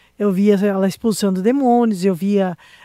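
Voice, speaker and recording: Recorded dry and close with no echo, a woman with a dark, mellow tone talks fairly slowly with ordinary pitch variation. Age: 60s. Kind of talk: testimony.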